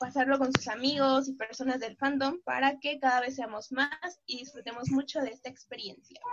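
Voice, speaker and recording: Moderate pace and high pitch from a female speaker. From Mexico. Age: 20s. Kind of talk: casual chat.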